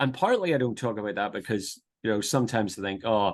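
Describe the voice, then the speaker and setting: A man speaks with a Northern Irish accent against a quiet background. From Northern Ireland, near Belfast. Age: 50s. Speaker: pastor and theological teacher. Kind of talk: podcast interview. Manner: hesitant, many repetitions and fillers.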